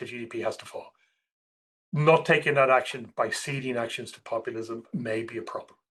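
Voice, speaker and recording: A man with a fairly high pitch and a bright, sharp tone speaks at a moderate pace with ordinary pitch variation. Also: big swings in loudness. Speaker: portfolio manager. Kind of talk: podcast interview.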